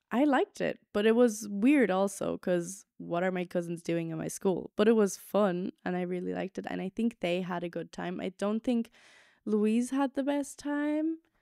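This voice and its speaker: In a very clean recording with a silent background and a dry, close sound with no echo, a woman with an American accent speaks at a moderate pace and medium pitch, her dark, mellow tone carrying lively intonation. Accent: American-sounding English. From Germany. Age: 20s. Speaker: podcast host. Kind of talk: casual solo chat. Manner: hesitant, many fillers.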